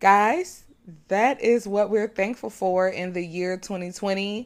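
The clip has a woman speaking on a very clean recording with a silent background. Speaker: podcast host. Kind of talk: casual chat.

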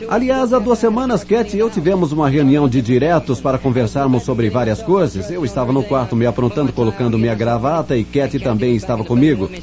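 Against noticeable background noise, a man at a medium pitch talks at a fairly quick pace with hardly any pauses, his pitch swinging very widely while his loudness stays very even. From New York, the Bronx. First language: English (speaking Portuguese). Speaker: network marketing speaker, former detective. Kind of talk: motivational talk. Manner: animated.

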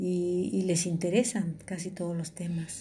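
A woman with a fairly low pitch speaks very slowly in a dark, mellow, somewhat breathy tone. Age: 50s. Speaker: podcast host. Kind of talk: personal monologue. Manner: halting.

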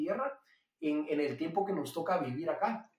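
Speaking with a Guatemalan accent, a man talks at a moderate pace with very wide pitch swings. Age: 20s. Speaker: pastor and entrepreneur. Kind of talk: interview testimony. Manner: halting, frequent repetitions.

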